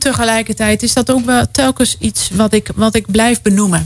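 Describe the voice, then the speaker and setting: This woman's voice sits at a fairly high pitch and sounds somewhat breathy. Her pitch variation is ordinary. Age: 40s. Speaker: guest sharing experience of involuntary childlessness. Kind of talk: radio interview. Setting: radio studio.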